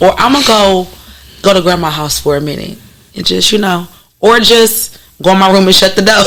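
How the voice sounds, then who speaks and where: Against noticeable background noise, the speech runs at a fairly quick pace with ordinary pitch variation and long, frequent pauses. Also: woman, medium pitch for a woman. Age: 30s. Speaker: actress, poet and teacher. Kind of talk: casual interview chat.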